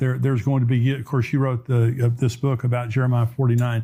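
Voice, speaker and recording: A man's somewhat breathy voice, medium in pitch with a dark, mellow tone, at a fairly quick pace. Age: 70s. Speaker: pastor and prophecy show host. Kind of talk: interview discussion.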